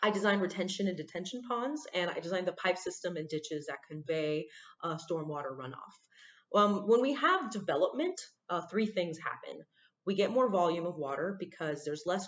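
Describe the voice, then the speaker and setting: Speaking at a moderate pace, a woman uses lively intonation in a fairly low pitch. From central Florida. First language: Spanish. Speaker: civil engineer and playwright. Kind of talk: prepared talk to students. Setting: recorded on a computer.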